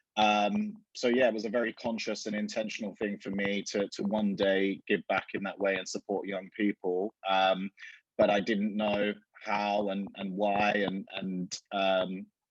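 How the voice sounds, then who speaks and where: At a fairly slow pace and fairly low pitch, a man with an Essex accent speaks in a monotone, flat way, with a dry, close sound with no echo. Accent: southern English (Essex). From Essex, England. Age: 30s. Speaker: fashion retailer. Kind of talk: interview.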